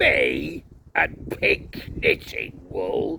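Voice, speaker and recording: A put-on character voice comes out raspy and rumbling. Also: man. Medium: read story. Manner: grumbling, nervous.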